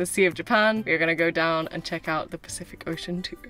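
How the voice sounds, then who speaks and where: A woman talks at a fairly quick pace with ordinary pitch variation. The sound is dry with no echo, and faint music plays in the background. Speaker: travel vlogger. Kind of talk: casual vlog chat. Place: car. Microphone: phone near.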